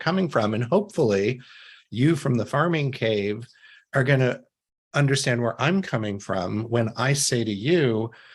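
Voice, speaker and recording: Over a silent background on a very clean recording, a man with an American accent and an unremarkable speaking voice talks at a moderate pace at medium pitch with lively intonation. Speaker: CEO and author, empathy expert. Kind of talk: podcast interview.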